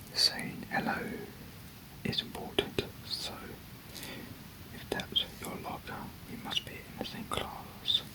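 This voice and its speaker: A whisper at a very slow pace, broken by long, frequent pauses, over noticeable background noise. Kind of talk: whispered ASMR reading of a manga. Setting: close-mic studio recording with a desk microphone. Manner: whispered, soft-spoken.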